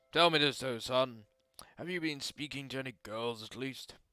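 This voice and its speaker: A man in a raspy, put-on character voice at a medium pitch and a moderate pace, with big swings in loudness and faint music in the background. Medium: game stream. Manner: jovial, hearty.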